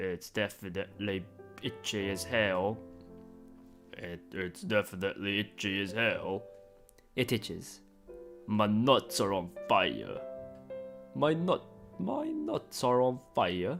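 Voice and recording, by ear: A man puts on a character voice in a British accent, pitched fairly low and delivered at a fairly slow pace. Long, frequent pauses break it up over clear music in the background.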